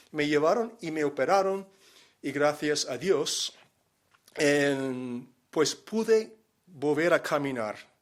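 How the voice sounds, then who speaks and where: Over a silent background in a very clean recording, a man with a fairly high pitch and lively intonation speaks at a very slow pace with long, frequent pauses. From Miami, Florida, USA. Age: 60s. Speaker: missionary. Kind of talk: personal testimony. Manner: hesitant, many fillers.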